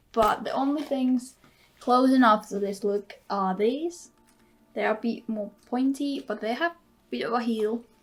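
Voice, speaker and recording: A woman speaks with a non-native accent at a fairly slow pace. Her pitch variation is ordinary. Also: fairly high pitch for a woman. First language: not English. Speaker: beauty vlogger. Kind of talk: casual tutorial vlog.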